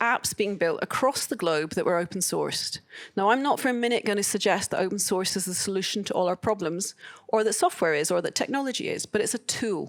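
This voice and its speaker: A woman's medium-pitched voice in a Scottish accent, with lively intonation. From Scotland. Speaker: open source advocate, conference speaker. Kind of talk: conference talk.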